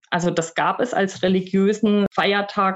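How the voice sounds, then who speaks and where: A woman talks very slowly, her voice at a medium pitch. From Germany. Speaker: university staff, former German lecturer in Russia. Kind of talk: interview. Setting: home office recording.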